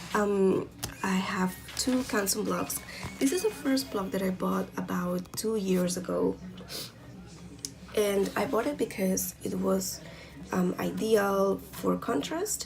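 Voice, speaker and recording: Music plays in the background as the speaker, with a non-native accent, goes at a very slow pace. Long, frequent pauses break up the speech. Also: woman. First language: not English. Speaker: art hobbyist YouTuber. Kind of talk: product review tutorial. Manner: hesitant, many fillers. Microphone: poor quality camera recording.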